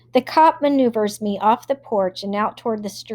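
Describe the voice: This is plain reading aloud. Pitch varies in an ordinary way.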